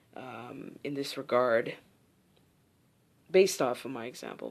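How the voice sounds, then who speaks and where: Against a quiet background, a woman speaks at a moderate pace. Her pitch swings very widely. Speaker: podcast host and personal development coach. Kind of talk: casual solo podcast monologue. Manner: animated.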